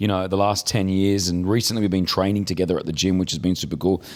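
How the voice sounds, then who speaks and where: Over a very clean recording with a silent background, a man talks at a very fast pace in an Australian accent. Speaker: podcast co-host. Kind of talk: casual chat.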